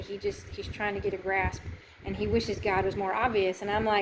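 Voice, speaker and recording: Talking at a fairly quick pace, a woman is heard over noticeable background noise. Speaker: volunteer archaeological excavator and missionary vlogger. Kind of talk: casual video diary. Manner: loud.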